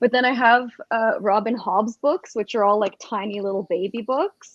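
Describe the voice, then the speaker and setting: In a Russian accent, a woman speaks at a moderate pace with a fairly high pitch and ordinary pitch variation. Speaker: book discussion co-host. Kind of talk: casual chat.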